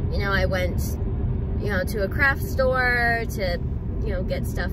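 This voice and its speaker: Loud background noise runs under a woman's voice, recorded dry with no echo. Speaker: vlogger. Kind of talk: casual storytime vlog chat. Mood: animated, amused storytelling. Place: car. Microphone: phone near.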